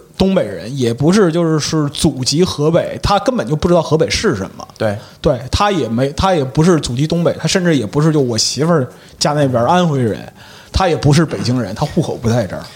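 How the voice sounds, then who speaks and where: A plain, everyday voice, fairly quick in pace, its intonation lively. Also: man, fairly high pitch for a man. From Liaoning, northeast China. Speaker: guest panelist. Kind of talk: casual chat.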